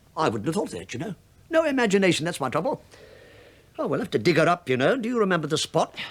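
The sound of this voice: Talking fast in a put-on character voice, a man pitches high with big swings and a slightly husky edge.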